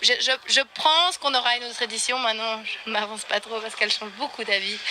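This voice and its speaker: A woman talks very fast at a fairly high pitch with ordinary pitch variation, over noticeable background noise. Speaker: equestrian eventing rider. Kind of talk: post-competition interview. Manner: hesitant, many fillers.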